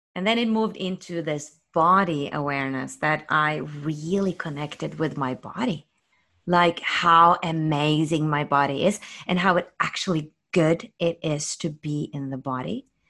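A woman's bright, sharp, very deep and low voice in a Norwegian accent, at a fairly slow pace against a quiet background. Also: ordinary pitch variation. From Norway. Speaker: spiritual YouTube host, former singer. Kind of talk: interview conversation.

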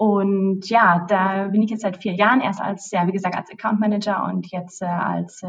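With hardly any pauses, a woman talks at a medium pitch in a flat monotone. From Germany, Hesse (Bad Homburg). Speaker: travel company account manager. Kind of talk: interview. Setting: office. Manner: halting, many fillers.

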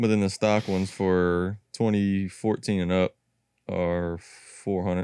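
In an American accent, a man speaks at a fairly slow pace with a very deep, low pitch, a dark, mellow tone, monotone, flat intonation and very even loudness, in a dry, close sound with no echo. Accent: slightly country. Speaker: podcast co-host.

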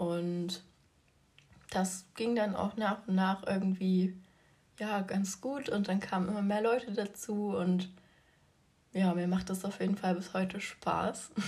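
Very slowly and with long, frequent pauses, a woman talks in a medium, somewhat breathy pitch and a monotone, flat intonation. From Leipzig, Germany. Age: 20s. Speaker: podcast host and fitness influencer. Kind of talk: casual solo podcast talk.

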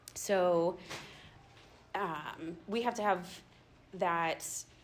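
A woman speaks, and audible room echo surrounds her voice. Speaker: schoolteacher. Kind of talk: church talk to small group. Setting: church gathering, no microphone. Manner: loud, projecting without microphone.

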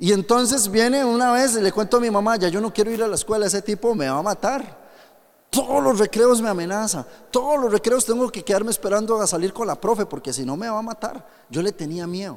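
Lively intonation from a man with a high-pitched voice, at a fairly quick pace. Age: 30s. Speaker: pastor. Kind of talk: sermon. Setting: youth camp with audience.

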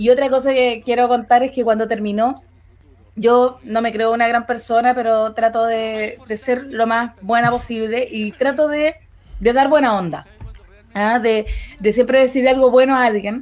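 Over noticeable background noise, a woman with a Chilean accent speaks at a fairly slow pace in a high pitch with fairly even intonation. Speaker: podcast co-host. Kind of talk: casual chat.

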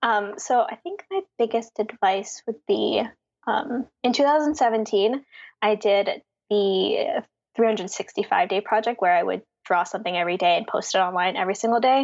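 With an American accent and a normal speaking voice, a woman speaks at a fairly slow pace, her fairly high pitch moving in lively intonation over a quiet background. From Philadelphia, US. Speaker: graphic designer and letterer. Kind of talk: interview.

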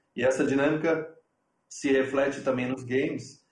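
This man's voice is somewhat breathy and medium in pitch, with a moderate pace and intonation that stays fairly even. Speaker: TV sports executive. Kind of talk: online panel discussion. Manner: halting.

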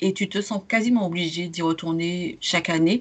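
A woman's plain, everyday voice with fairly even intonation. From Martinique. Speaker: podcast host, travel blogger. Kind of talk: casual interview chat.

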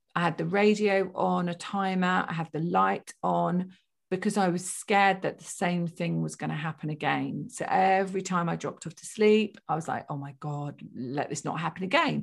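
A woman with an unremarkable speaking voice talks at a medium pitch and a moderate pace. The recording is very clean, with a silent background. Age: 50s. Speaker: spiritual medium and psychotherapist. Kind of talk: interview.

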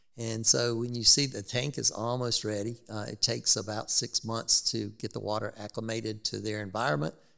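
A man speaks with a bright, sharp tone and a fairly low pitch, at a moderate pace with fairly even intonation, in a very clean recording over a silent background. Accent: Southern US. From South Carolina, Rock Hill. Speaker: zoo chief executive. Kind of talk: interview.

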